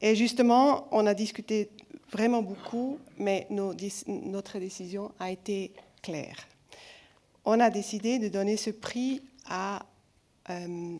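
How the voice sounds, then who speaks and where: A woman speaks very slowly, with long, frequent pauses. Her voice is dark and mellow, at a medium pitch with ordinary pitch variation. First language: not French (speaking French). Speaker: film festival jury member. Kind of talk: award speech. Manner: halting, self-correcting.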